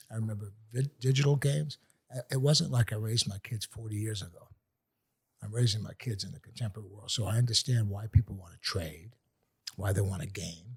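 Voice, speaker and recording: This man's fairly low voice is somewhat breathy and moves at a fairly quick pace, with ordinary pitch variation, big swings in loudness, and a dry, close sound with no echo. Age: 70s. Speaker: artist. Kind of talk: casual chat.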